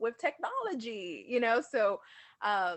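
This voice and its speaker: Her energetic tone pairs with lively intonation as the woman speaks at a fairly high pitch. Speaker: entrepreneur and guest speaker. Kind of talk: interview. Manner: loud.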